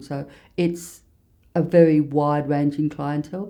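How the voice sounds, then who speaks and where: A woman with an Australian accent speaks in a very deep, low voice with fairly even intonation. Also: very clean recording, silent background. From Australia, King Island (Tasmania). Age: 60s. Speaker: bookseller and former nurse. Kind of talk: interview.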